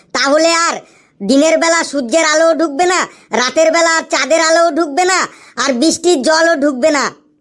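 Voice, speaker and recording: At a moderate pace, a cartoonish character voice speaks in a high pitch. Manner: earnest, repetitive.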